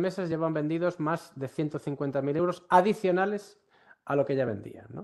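A man speaks in a Galician accent. The background is quiet. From Galicia, Ourense; Galicia, Spain. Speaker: university professor, workshop instructor; professor presenting a workshop. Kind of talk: online workshop lecture. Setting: online session. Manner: frequent fillers and hesitations. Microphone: video call.

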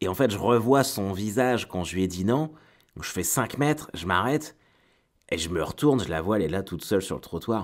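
In a very clean recording with a silent background, a man speaks at a fairly low pitch. His pace is fairly quick and his intonation lively. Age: 30s. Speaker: comedian. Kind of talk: casual chat. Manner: halting.

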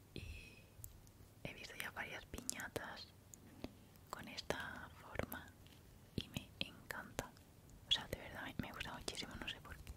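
Whispering at a fairly slow pace, the speaker leaves long, frequent pauses. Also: woman. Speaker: ASMR creator. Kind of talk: ASMR show and tell. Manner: soft-spoken, whispering. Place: home room. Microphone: studio mic.

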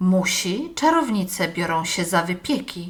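This put-on character voice moves at a moderate pace with lively intonation. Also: woman, medium pitch for a woman. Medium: read story. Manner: hearty, jaunty calling out.

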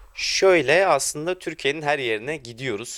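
Delivered at a moderate pace, the speech comes on a very clean recording with a silent background. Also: man. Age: 20s. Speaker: furniture maker, family business. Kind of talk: interview. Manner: hesitant, many fillers.

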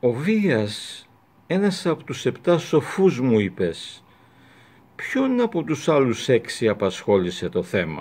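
Very slowly, a man speaks with very wide pitch swings. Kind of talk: literary reading. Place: home room. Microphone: webcam.

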